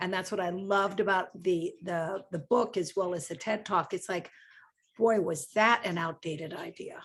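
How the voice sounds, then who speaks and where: A woman's voice, medium in pitch with ordinary pitch variation, at a moderate pace, a normal speaking voice, in a very clean recording with a silent background. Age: 60s. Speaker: book club discussion guest. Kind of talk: casual book club discussion.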